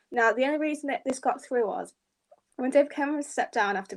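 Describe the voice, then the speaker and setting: This woman speaks with a British accent. The recording is very clean, with a silent background. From England, Grimsby (Lincolnshire). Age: 20s. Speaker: political writer. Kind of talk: panel discussion.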